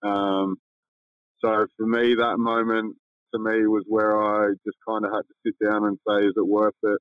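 A man speaks with monotone, flat intonation. His pitch is fairly low. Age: 30s. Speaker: professional basketball player. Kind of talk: casual interview chat.

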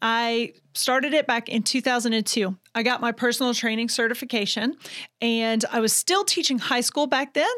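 Moderate pace from a woman with a Southern US accent, fairly high pitch and ordinary pitch variation. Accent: Southern US (Georgia). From US South, Georgia (Vidalia). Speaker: fitness trainer and business owner. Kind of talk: interview.

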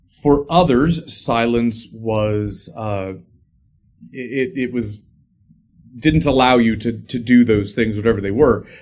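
In an ordinary speaking voice, a man holds a medium pitch and a moderate pace, with ordinary pitch variation. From Illinois, US Midwest. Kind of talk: casual interview conversation.

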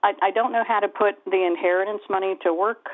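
A woman talks at a moderate pace in a medium pitch. Hers is an unremarkable speaking voice with ordinary pitch variation. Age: 60s. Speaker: caller. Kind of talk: casual chat.

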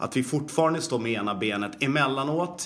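A man talks at a moderate pace in an unremarkable speaking voice. His intonation is lively. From Sweden, Falun (Dalarna). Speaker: personal trainer and fitness educator. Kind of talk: casual interview.

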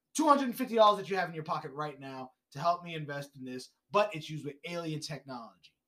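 Talking at a fairly quick pace, a man with a New York accent uses a fairly high pitch, a bright, sharp tone and lively intonation. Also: big swings in loudness. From Brooklyn, New York. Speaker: podcast guest. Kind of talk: casual chat.

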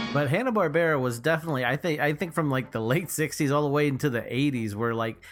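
Music plays behind a man with an American accent who talks at a very fast pace. His pitch is fairly high and his loudness stays very even. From Texas, Houston area. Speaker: podcast co-host. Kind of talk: casual chat.

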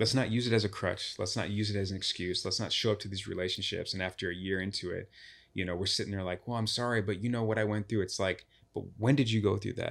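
In an American accent, the speaker talks very fast with fairly even intonation on a very clean recording with a silent background. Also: man, fairly low pitch for a man. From Chicago. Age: 30s. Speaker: relationship speaker. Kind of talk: casual interview chat. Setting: studio.

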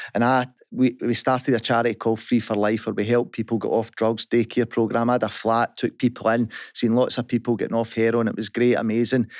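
A man talks at a very fast pace in a medium-pitched, monotone, flat voice, with a dry, close sound with no echo on a very clean recording with a silent background. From West Central Scotland. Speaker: business founder. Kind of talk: testimony. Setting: studio.

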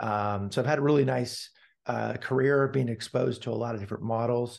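A man with an American accent speaks at medium pitch and a fairly quick pace. His intonation stays fairly even against a quiet background. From California, US (Palo Alto). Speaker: tech executive. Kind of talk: podcast interview.

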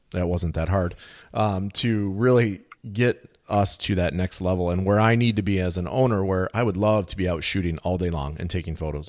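Very deep and low, a man's voice moves at a fairly quick pace with fairly even intonation. The recording is very clean, with a silent background. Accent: American. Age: 40s. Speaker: podcast host. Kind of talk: interview.

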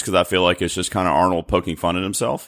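With an American accent, a man speaks at a very deep, low pitch with vocal fry on a very clean recording with a silent background. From North Carolina. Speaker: fellow podcaster. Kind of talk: casual chat.

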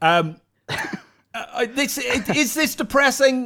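A man speaks in a raised, projected voice with a bright, sharp tone. His intonation is lively. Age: 50s. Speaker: comedian and team captain. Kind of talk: comedy panel show banter.

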